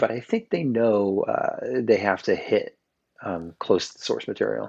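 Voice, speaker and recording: The background stays quiet as a man talks at a moderate speed. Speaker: podcast guest. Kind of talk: casual chat.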